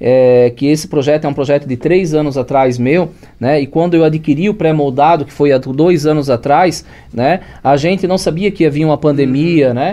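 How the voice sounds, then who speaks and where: Speaking in a plain, everyday voice, a man keeps a moderate pace, his fairly high pitch showing ordinary pitch variation. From Blumenau, Santa Catarina, southern Brazil. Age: 40s. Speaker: entrepreneur, construction business owner. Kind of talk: podcast interview.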